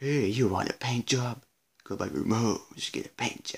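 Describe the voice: A man uses a put-on character voice. It sits at a medium pitch. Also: moderate pace.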